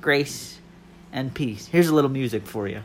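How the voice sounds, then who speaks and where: A man speaks at a fairly slow pace with a fairly high pitch. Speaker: podcaster. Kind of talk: casual monologue. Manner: stumbling over words.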